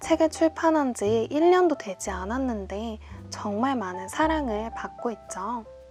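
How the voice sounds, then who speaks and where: Over music in the background, a woman with a fairly high pitch speaks at a very slow pace, her pitch swinging very widely. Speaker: singer-songwriter. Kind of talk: book introduction to camera.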